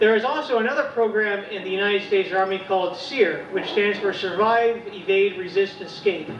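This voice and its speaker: A man with an American accent speaks at a moderate pace in a high voice with ordinary pitch variation. Noticeable background noise and audible room echo fill the recording. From rural West Virginia. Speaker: comedian. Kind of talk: stand-up. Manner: halting.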